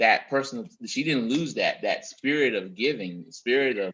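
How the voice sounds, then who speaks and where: A man with an American accent has an unremarkable speaking voice, a medium pitch and lively intonation. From Texas, San Antonio. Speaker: husband guest on relationship show. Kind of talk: casual chat.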